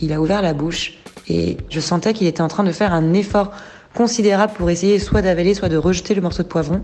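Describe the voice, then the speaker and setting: Against noticeable background noise, a woman speaks at a fairly quick pace with fairly even intonation and very even loudness. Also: medium pitch for a woman. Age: 30s. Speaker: mother sharing experience. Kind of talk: testimony.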